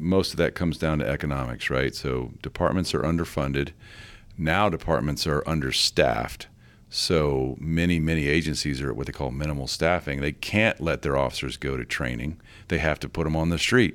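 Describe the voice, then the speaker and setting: This man's very deep, low voice has vocal fry and ordinary pitch variation as he talks at a fairly quick pace. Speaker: former FBI agent, firearms training director. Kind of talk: interview.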